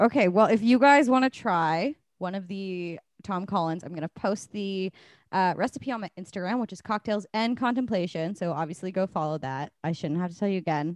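A woman with a Canadian accent and an unremarkable speaking voice, medium in pitch, fairly quick and lively in intonation, with big swings in loudness, a dry, close sound with no echo, and a quiet background. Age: 20s. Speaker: podcast host and musician. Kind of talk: casual chat.

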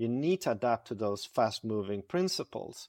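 Speaking with a Swedish accent, a man talks at a moderate pace and medium pitch in a dry, close sound with no echo. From Stockholm, Sweden. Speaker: IT service management consultant. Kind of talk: podcast interview. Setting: remote call.

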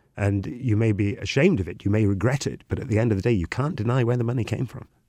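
With a north Welsh accent, a man speaks at a fairly quick pace in a fairly low pitch and a dark, mellow tone. His pitch variation is ordinary, and the recording is very clean with a silent background. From Wales. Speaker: tour guide. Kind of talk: casual chat.

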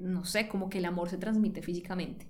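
A woman talks at a fairly quick pace with ordinary pitch variation. There is audible room echo. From Colombia, Cali. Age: 30s. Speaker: interviewee sharing emigration story. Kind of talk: personal storytelling.

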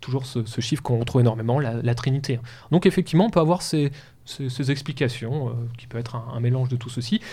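A man speaks very fast at medium pitch, somewhat breathy and with ordinary pitch variation, in a very clean recording with a silent background. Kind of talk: educational talk. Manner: hesitant.

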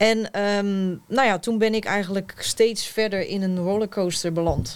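A woman talks in an ordinary speaking voice at medium pitch, fairly slowly and with fairly even intonation. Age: 30s. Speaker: author. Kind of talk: panel discussion.

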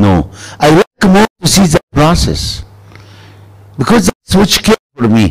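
A man with vocal fry and a fairly high pitch speaks at a fairly slow pace, his loudness very even, his pitch swinging very widely, and his speech broken by long, frequent pauses. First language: Arabic. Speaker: preacher. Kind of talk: sermon. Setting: church gathering with audience. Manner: animated.

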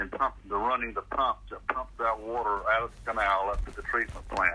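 The speaker is a man. He has a Southern US accent. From Central Florida. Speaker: public agency director. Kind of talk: interview.

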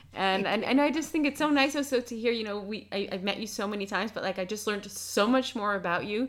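With a New York accent, a woman talks very fast with hardly any pauses, using a fairly high pitch and ordinary pitch variation. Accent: American, New York. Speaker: podcast host. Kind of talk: casual interview chat; scripted outro.

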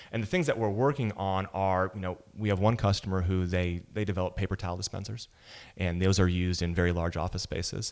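This man speaks at a very fast pace with an American accent and a very deep, low pitch. His intonation stays fairly even in a very clean recording with a silent background. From Wisconsin. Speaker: tech company founder and CEO. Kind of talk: casual interview. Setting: guest's office.

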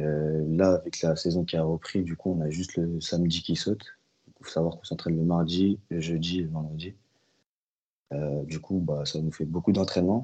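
A man with a very deep, low pitch talks at a moderate pace. His intonation is monotone and flat. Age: 20s. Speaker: American football player. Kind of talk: interview. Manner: hesitant, many fillers.

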